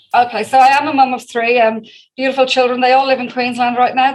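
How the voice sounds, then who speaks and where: A woman speaks with an Irish accent. Her pitch is fairly high. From Ireland, Dublin. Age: 50s. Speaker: direct sales leader. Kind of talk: interview. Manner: fast.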